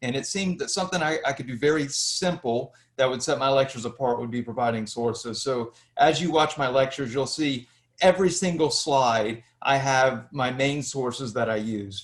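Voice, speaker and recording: A man speaks with a Southern US accent at a medium pitch. His pace is moderate and his pitch variation ordinary. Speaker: history lecturer, YouTuber. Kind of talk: interview.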